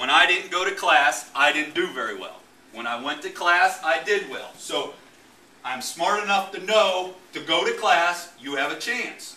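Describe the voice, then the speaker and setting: A man speaks at a fairly slow pace, with big swings in loudness. Room echo is audible. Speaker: football coach presenting. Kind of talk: presentation talk to audience. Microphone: camera far.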